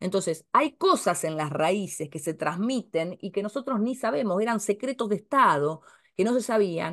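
Against a quiet background, a woman speaks at a moderate pace. Her intonation is lively. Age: 50s. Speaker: astrologer and family-tree course teacher; astrology course teacher. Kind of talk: casual talk to camera. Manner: hesitant, many filler sounds. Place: home room. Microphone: webcam.

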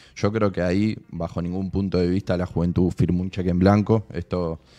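Over a quiet background, a man with a very deep, low voice and a dark, mellow tone speaks at a moderate pace with fairly even intonation. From Maipú, Buenos Aires province, Argentina; Buenos Aires province, Argentina. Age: 20s. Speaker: provincial government official; guest. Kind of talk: casual interview chat. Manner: halting, many fillers and repeated words. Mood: calm, thoughtful. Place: studio. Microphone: studio mic.

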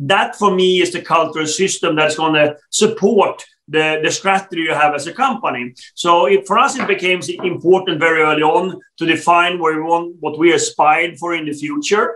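A man speaks at a fairly quick pace in a Swedish accent, his pitch high and its variation ordinary. His tone is bright and sharp. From Sweden. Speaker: telecom executive; guest. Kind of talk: interview. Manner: halting, many fillers. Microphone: video call.

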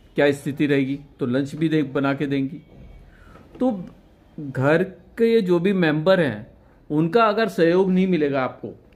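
At a very slow pace, a man with a fairly high voice talks with long, frequent pauses. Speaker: senior photojournalist. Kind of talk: interview. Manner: halting. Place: home room. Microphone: handheld.

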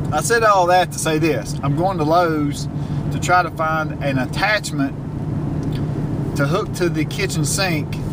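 Loud background noise surrounds a man speaking at a fairly slow pace. The sound itself is dry, with no echo. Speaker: vlogger. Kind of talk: casual vlog chat. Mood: relaxed storytelling. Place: car. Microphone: phone near.

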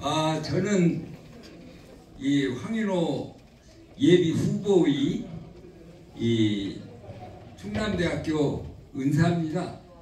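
In a room with audible echo and light background noise, a man with a fairly high pitch and lively intonation talks at a very slow pace, with long, frequent pauses. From South Jeolla, South Korea. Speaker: retired professor. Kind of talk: speech at a book launch event. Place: hall.

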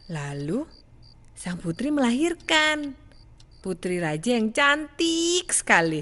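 Very wide pitch swings run through this woman's speech. She talks at a very slow pace. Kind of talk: bedtime story reading, repetitive fairy tale. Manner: halting, stumbling and repeating lines, searching for words.

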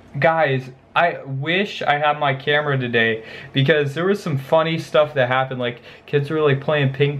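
With fairly even intonation, a man talks at a moderate pace. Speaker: vlogger. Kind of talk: casual vlog chat. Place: home room.

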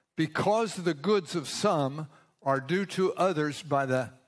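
Speaking very slowly against a quiet background, a man with a fairly high pitch uses lively intonation. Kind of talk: sermon. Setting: church. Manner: formal, earnest, pausing for interpreter. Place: church.

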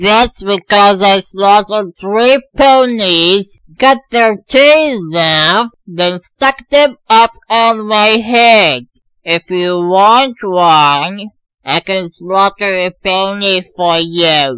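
In a cartoonish character voice, a man speaks very slowly at a high pitch with lively intonation, his voice raised and projected, the sound dry and close with no echo. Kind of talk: comic overacting. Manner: pompous, gleefully unhinged.

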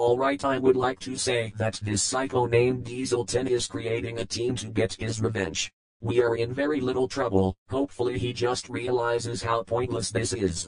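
A man's put-on character voice at a medium pitch and a moderate pace. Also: hardly any pauses. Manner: scornful toward ex-boss, then nervous warning.

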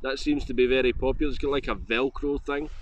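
A man talks at a fairly quick pace. The sound is dry with no echo, with light background noise. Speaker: motovlogger. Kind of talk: casual gear review chat. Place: open country. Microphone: phone near.

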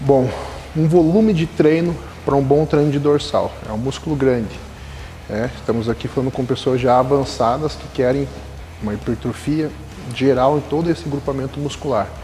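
Against light background noise, a man speaks at a moderate pace with ordinary pitch variation. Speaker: coach. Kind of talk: tutorial. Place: gym. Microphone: lapel.

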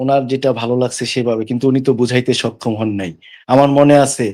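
A man's dark, mellow tone holds to fairly even intonation. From Bangladesh, Dhaka. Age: 40s. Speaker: caller to live religious discussion. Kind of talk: testimony.

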